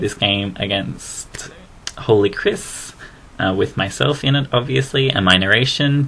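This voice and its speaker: A man talks with an Australian accent at a medium pitch. His pitch variation is ordinary, and there is noticeable background noise. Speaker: gaming commentator. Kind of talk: game commentary narration. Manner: casual, rambling and fast.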